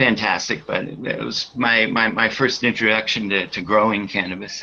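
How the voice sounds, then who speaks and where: This man has an ordinary speaking voice, fairly low in pitch, with an American accent. He speaks at a moderate pace. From Massachusetts, US. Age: 60s. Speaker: cannabis grower and breeder. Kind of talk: podcast interview.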